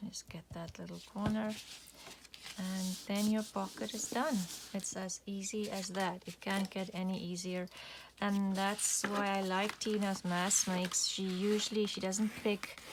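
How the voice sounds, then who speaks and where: The woman's voice is somewhat breathy, with a non-native accent. She speaks at a fairly slow pace in monotone, flat intonation. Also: medium pitch for a woman. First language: not English. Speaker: crafting YouTuber. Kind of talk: craft tutorial. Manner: casual, with fillers.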